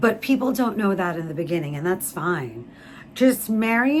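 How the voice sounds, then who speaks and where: A somewhat breathy woman with an animated tone. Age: 30s. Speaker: YouTuber. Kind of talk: casual chat.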